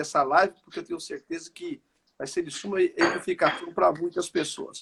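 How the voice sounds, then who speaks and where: This man talks at a moderate pace, and the sound is dry and close with no echo. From Brazil, São Paulo city (east zone). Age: 40s. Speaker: pastor. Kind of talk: podcast interview.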